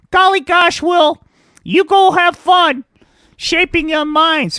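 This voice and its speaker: A man puts on a cartoonish character voice at an extremely high pitch. He talks at a fairly slow pace in a raised, projected voice. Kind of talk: puppet comedy voice. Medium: puppet show. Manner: gee-whiz wholesome chirpiness.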